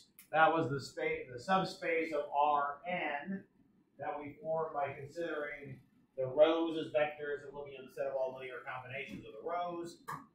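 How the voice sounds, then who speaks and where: Loudness swings widely in this moderately paced speech, with fairly even intonation and audible room echo. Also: man, fairly high pitch for a man. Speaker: math professor. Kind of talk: lecture. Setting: classroom. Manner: halting with fillers.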